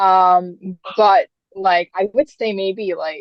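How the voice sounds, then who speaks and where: A woman speaks at a medium pitch. She is soft-spoken. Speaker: interviewee sharing mental health story. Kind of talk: interview testimony. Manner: soft, hard to hear. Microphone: cutting in and out.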